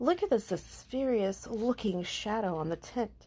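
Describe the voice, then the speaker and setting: In a put-on character voice, a female-sounding speaker talks at a moderate pace with fairly high pitch. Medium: read story. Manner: exuberant, playful.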